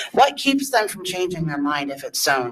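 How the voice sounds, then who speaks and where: With lively intonation, a woman speaks in an American accent over noticeable background noise. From northern Indiana. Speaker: resident speaking at public hearing. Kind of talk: public comment at zoning hearing. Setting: public meeting room. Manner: loud.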